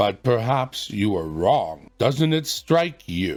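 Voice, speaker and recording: A man uses a put-on character voice at a medium pitch, swinging his pitch very widely. He goes at a very slow pace with music in the background. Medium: read story. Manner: slow, pontifical, placid.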